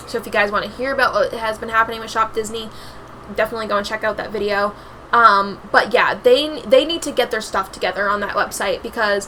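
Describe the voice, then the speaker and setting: A woman speaks fairly quickly and with fairly even intonation as noticeable background noise continues. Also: fairly high pitch for a woman. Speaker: YouTuber. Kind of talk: casual vlog commentary. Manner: filler-heavy, halting; fast.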